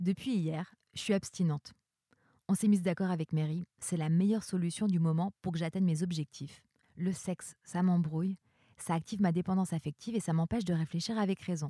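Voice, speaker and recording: Speaking with fairly even intonation, a woman with a fairly low pitch and a dark, mellow, somewhat breathy tone comes through in a dry, close recording with no echo. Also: fairly quick pace. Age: 30s. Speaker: performing arts worker. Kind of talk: personal monologue.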